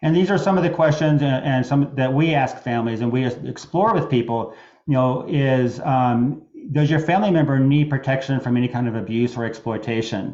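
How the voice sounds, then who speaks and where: A man speaks fairly quickly at a medium pitch with ordinary pitch variation. His loudness stays very even. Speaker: attorney. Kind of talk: webinar presentation. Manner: fast; halting with many fillers.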